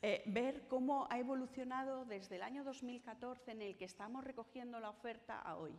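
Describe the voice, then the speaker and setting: A high-pitched woman talks at a moderate pace. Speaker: conference panelist on cultural accessibility. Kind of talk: conference talk. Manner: tries to articulate clearly.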